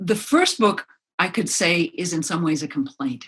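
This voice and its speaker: Her pitch is fairly low but swings very widely. The woman speaks with an American accent. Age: 70s. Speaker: author. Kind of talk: interview.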